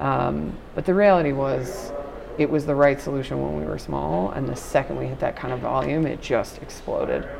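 With an American accent, a woman speaks at a moderate pace amid audible room echo and noticeable background noise. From New York, Long Island (Nassau County). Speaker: nonprofit technology analyst. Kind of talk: casual interview. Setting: hallway at a conference.

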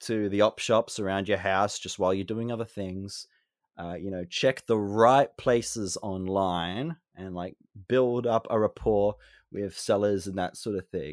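A man with an Australian accent speaks at a fairly slow pace and a fairly low pitch with ordinary pitch variation, in a dry, close sound with no echo on a very clean recording with a silent background. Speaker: game reviewer and collector. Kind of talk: casual interview chat.

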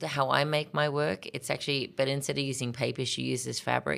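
In a very clean recording with a silent background, a woman with an Australian accent speaks in a very deep, low pitch. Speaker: artist. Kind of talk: interview. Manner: energetic.

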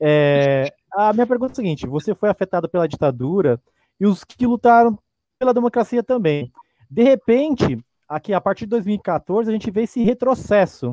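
Recorded dry and close with no echo, a man's high, dark, mellow voice moves at a moderate pace through very wide pitch swings. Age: young. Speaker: arts teacher, panelist. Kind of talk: interview.

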